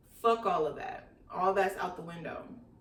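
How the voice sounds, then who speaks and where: A woman speaks at a moderate pace with lively intonation. Noticeable background noise and audible room echo surround her voice. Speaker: YouTuber, storytime vlogger. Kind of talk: casual storytime vlog.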